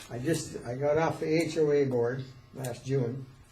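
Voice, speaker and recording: A fairly high-pitched man with fairly even intonation, amid noticeable background noise and audible room echo. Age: 70s. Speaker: board chair. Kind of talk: public meeting.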